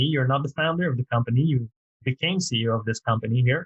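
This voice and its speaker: A man speaks in a French accent at a fairly high pitch, somewhat breathy, with fairly even intonation. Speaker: podcast host. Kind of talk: interview podcast.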